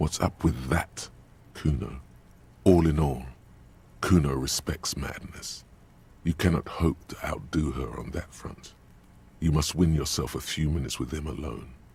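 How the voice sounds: In a put-on character voice, a man speaks at an extremely low pitch with vocal fry and a husky, rough edge, at a fairly slow pace with long, frequent pauses. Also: ordinary pitch variation, slightly mellow tone.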